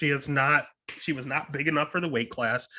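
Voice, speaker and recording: The voice is loud with a bright, sharp tone and a fairly quick pace. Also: man. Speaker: MMA betting podcast host. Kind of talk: casual podcast fight picks.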